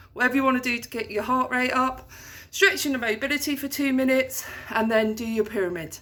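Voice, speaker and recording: A woman's raised, projected voice, high in pitch, at a moderate pace amid noticeable background noise. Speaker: PE teacher. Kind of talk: tutorial. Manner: instructive.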